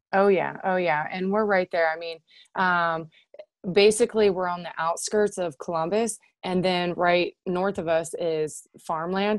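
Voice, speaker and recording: A woman speaks with a Midwestern US accent at a medium pitch. Her pace is fairly slow and her intonation fairly even. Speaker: former wrestler and military servicemember. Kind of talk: casual interview chat.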